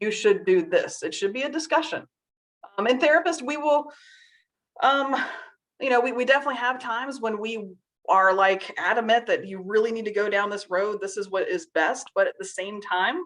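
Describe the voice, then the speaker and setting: In a Southern US accent, a woman talks at a moderate pace with a fairly high pitch. Her intonation is lively. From Virginia, US South. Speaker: seating and wheelchair therapist. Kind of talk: webinar presentation. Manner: casual, chatty.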